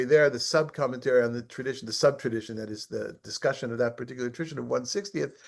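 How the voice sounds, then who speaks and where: With a quiet background behind him, a man speaks at a very fast pace with ordinary pitch variation. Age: 60s. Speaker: rabbi teaching a study group. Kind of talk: online study class.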